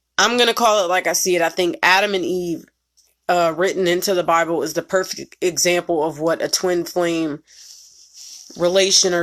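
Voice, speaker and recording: With fairly even intonation, a woman speaks at a fairly low pitch in a plain, everyday voice. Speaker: spiritual reader. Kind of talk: casual monologue.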